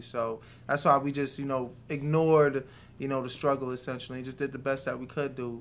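A man talks at a fairly quick pace. He has a New York accent. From New York City (Queens), Jamaican-born. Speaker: restaurant co-owner. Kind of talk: interview.

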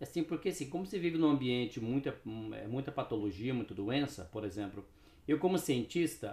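A dark, mellow tone with vocal fry, lively intonation and a fairly quick pace. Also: man. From Brazil, Paraná (Cascavel). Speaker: neuroscientist and health product entrepreneur. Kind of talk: casual interview chat.

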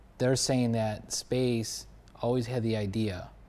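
Speaking with an American accent, a man with a dark, mellow tone and medium pitch delivers his words in a flat monotone, with audible room echo. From US Northeast (Buffalo, New York). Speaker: podcast host and actor. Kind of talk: casual chat.

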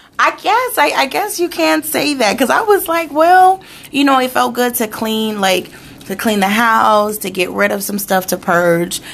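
The pitch rises and falls in very wide swings. Noticeable background noise is present. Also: woman, moderate pace. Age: 30s. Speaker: podcast co-host. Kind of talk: casual chat.

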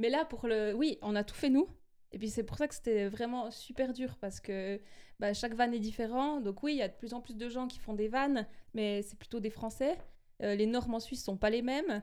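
Fairly high pitch and ordinary pitch variation from a woman with a dark, mellow tone. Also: moderate pace. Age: 30s. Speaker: radio journalist. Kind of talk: testimony. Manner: animated.

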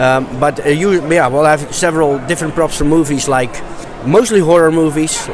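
Noticeable background noise and audible room echo surround a man speaking with a Dutch accent. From Netherlands. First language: Dutch (speaking German). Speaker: movie prop collector. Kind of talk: interview. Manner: halting.

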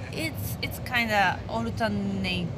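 At a fairly slow pace, a woman with a Japanese accent speaks over noticeable background noise. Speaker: stand-up comedian. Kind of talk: casual interview. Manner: laughs often.

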